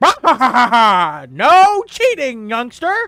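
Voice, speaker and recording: A put-on character voice, fairly high and cackling, with very wide pitch swings. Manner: cackling, scolding playfully.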